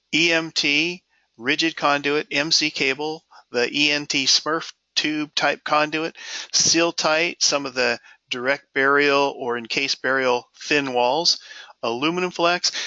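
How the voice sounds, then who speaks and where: This man has an unremarkable speaking voice with a fairly high pitch. He talks at a fairly slow pace with fairly even intonation. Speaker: software demonstrator. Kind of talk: software tutorial. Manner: casual with fillers.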